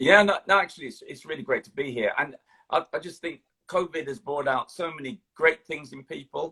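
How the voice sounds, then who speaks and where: In a London accent, a man with a fairly high pitch and a bright, sharp tone talks at a fairly quick pace with ordinary pitch variation and big swings in loudness, the sound dry and close with no echo. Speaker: retired police officer. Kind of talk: interview. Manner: halting.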